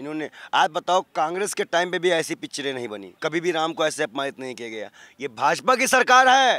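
A man's animated, bright and sharp voice, fairly high in pitch, with very wide pitch swings, big swings in loudness and a moderate pace, in dry sound with no echo against a quiet background. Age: 20s. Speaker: ascetic and civil-services aspirant. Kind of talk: street interview, political rant. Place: open country. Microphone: handheld.

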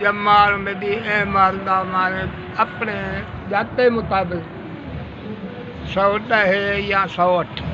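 A man speaks at a high pitch with monotone, flat intonation. Noticeable background noise runs underneath. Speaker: elder recounting history. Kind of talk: oral history interview answer. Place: shop. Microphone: phone near.

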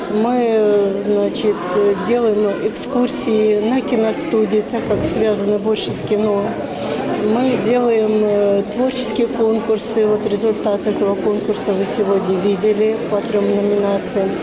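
Loud background noise sits under a woman speaking at a very slow pace. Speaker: festival organizer. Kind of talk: interview. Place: home room. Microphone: handheld.

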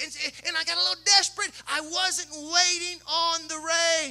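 Using a raised, projected voice, a man with a Southern US accent speaks at an extremely high pitch. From Kentucky. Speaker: pastor. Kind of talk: sermon. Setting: church. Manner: animated. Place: church. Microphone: handheld.

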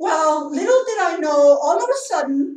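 A woman talks at a fairly slow pace against a quiet background, with audible room echo. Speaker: vlogger telling a complaint. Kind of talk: casual vlog chat. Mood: indignant, complaining. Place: home room. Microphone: camera far.

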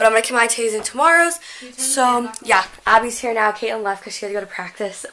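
This woman talks very fast. Her pitch varies in an ordinary way. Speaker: vlogger. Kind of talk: casual vlog chat. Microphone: phone near.

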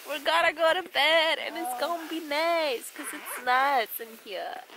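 This woman's voice has a high pitch with ordinary variation. Her tone is bright and sharp, and she talks at a fairly slow pace.

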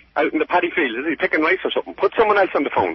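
In an Irish accent, a man talks at a very fast pace. The sound is dry with no echo, with light background noise. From Ireland. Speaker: prank call target. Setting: phone. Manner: irritable, curt. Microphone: phone line.

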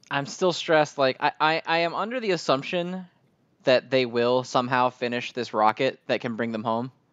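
A man talks at a medium pitch and a moderate pace, in a plain, everyday voice. His pitch varies in an ordinary way. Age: 30s. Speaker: anime podcast co-host. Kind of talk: casual chat.

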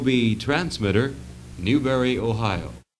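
A man talks at a fairly slow pace and a medium pitch over light background noise. He has an ordinary speaking voice. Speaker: radio announcer. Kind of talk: radio station sign-off announcement. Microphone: old recording.

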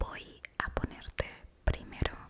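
A soft-spoken woman's whisper at a very slow pace over loud background noise. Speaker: ASMR creator. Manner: soft close-mic ASMR whisper. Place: home room. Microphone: studio mic.

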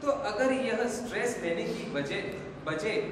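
A man speaks amid strong room echo and noticeable background noise. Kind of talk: staged skit dialogue, advice speech. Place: hall. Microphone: camera far.

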